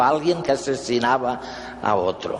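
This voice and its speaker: The speaker talks at a fairly slow pace with ordinary pitch variation over noticeable background noise. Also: man. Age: 70s. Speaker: conference speaker. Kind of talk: talk to an audience.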